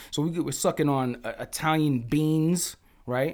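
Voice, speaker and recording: Someone with a New York accent talks at a moderate pace with lively intonation. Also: man. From New York City (Bronx). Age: 40s. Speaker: podcast co-host, music producer. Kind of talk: casual chat.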